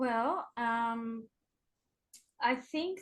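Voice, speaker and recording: A woman with a French accent talks in a somewhat breathy voice. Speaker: artist and workshop facilitator. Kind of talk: interview. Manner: casual, hesitant.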